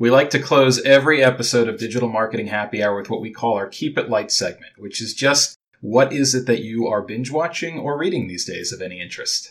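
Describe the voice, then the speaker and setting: At a fairly quick pace, a man with an unremarkable speaking voice talks at a medium pitch with ordinary pitch variation. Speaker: podcast co-host. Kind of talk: interview.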